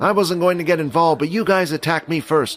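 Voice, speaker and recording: A man's put-on character voice, high-pitched and very fast, with fairly even intonation. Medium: audio drama. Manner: cool, detached.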